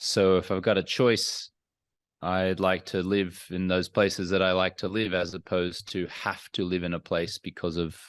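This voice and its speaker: Against a quiet background, the dry, close recording has no echo and carries a voice with an Australian accent at a moderate pace with monotone, flat intonation. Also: man, very deep, low pitch for a man. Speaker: entrepreneur and former sports anchor. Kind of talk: interview.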